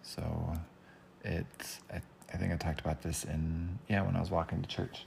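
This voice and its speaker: Noticeable background noise sits behind speech at a moderate pace with fairly even intonation. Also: man, very deep, low pitch for a man. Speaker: podcaster. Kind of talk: casual solo podcast monologue. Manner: mellow, laid-back.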